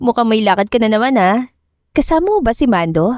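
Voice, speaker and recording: A woman talks at a fairly quick pace with lively intonation. The sound is dry and close with no echo, and the background is silent in this very clean recording. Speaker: story narrator. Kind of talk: narrated romance drama story.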